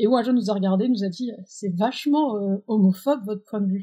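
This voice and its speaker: A dark, mellow, somewhat breathy tone at a moderate pace with ordinary pitch variation. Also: woman. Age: 20s. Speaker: president of a holiday camp organisation. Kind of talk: interview.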